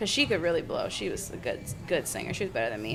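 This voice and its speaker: A woman with an American accent talks at a very fast pace in a fairly low pitch, with audible room echo and noticeable background noise. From Michigan, US. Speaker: singer. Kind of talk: casual chat. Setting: bar.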